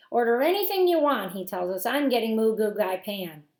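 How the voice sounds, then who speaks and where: Putting on a character voice, a woman talks at a fairly quick pace with a fairly high pitch and very wide pitch swings. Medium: read story. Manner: scathing, imperious.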